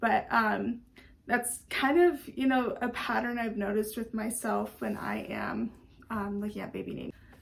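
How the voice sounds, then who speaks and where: Ordinary pitch variation runs through a woman's somewhat breathy delivery. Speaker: vlogger, stay-at-home mom. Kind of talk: casual vlog talk to camera.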